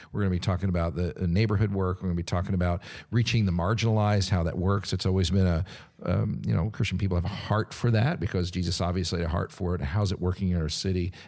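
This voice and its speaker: A woman's very fast speech with a very deep, low pitch, ordinary pitch variation, very even loudness and a dark, mellow tone. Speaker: lead pastor and co-host. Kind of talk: casual interview chat.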